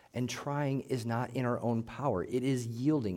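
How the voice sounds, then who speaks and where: A man speaks in an ordinary speaking voice at medium pitch and a fairly slow pace. The recording is very clean, with a silent background. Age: 40s. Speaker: pastor. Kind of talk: sermon.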